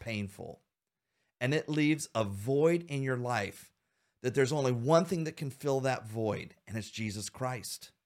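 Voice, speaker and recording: A man of medium pitch has a plain, everyday voice, with ordinary pitch variation and a moderate pace. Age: 50s. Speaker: podcast host. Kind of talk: faith-based discussion podcast.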